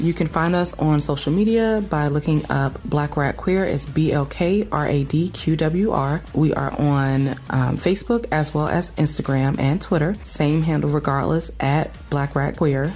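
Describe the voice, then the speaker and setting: With a Southern US accent, a woman speaks in a very deep, low voice at a moderate pace, with ordinary pitch variation, very even loudness and hardly any pauses, over noticeable background noise. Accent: Southern twang. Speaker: podcast host. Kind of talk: scripted outro.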